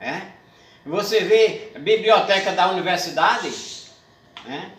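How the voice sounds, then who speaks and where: Over noticeable background noise, a man with a northeastern Brazilian accent uses a raised, projected voice at a high pitch and a very slow pace. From Paraíba, Northeast Brazil. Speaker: poet, cordel writer and declaimer. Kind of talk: interview answer.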